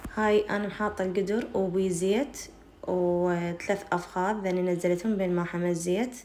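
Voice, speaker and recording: A woman with an Iraqi accent speaks at a medium pitch and a fairly slow pace, her dark, mellow tone carrying fairly even intonation and very even loudness amid audible room echo. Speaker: cooking channel host. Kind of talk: cooking tutorial.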